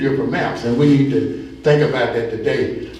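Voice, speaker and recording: A man talks at a moderate pace. Noticeable background noise and audible room echo surround his voice. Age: 70s. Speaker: community organizer. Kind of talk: meeting welcome address. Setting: town hall meeting with audience.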